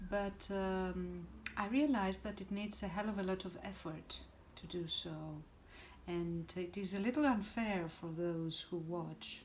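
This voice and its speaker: Speaking fairly slowly at a medium pitch in a Greek accent, a woman shows ordinary pitch variation amid audible room echo. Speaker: spiritual teacher. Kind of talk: direct-to-camera talk. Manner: hesitant, many fillers.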